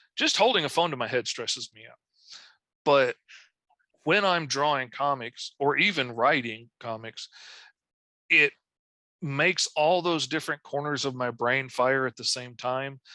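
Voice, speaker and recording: A man with a Southern US accent speaks fairly slowly in a fairly high pitch, with a bright, sharp tone, ordinary pitch variation and big swings in loudness, leaving long, frequent pauses. The recording is very clean and dry, close with no echo, over a silent background. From Arkansas. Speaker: comic book artist. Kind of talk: interview. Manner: vocal tics, yelps.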